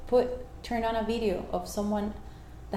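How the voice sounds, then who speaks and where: There is audible room echo around a woman's voice. She speaks at a moderate pace with a fairly high pitch. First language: Spanish. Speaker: life coach. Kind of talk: interview. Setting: at home.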